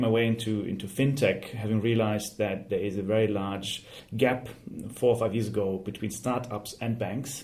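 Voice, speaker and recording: A man with a German accent, medium in pitch, at a fairly quick pace with fairly even intonation, in a room with audible echo. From Germany. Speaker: fintech startup CEO. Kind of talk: interview. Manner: hesitant, with fillers.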